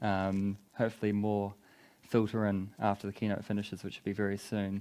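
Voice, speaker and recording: A man talks at a fairly quick pace in a dark, mellow tone, his fairly low pitch held in a monotone, flat intonation. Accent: strong New Zealand. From New Zealand. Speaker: tech company business development lead. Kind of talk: conference talk.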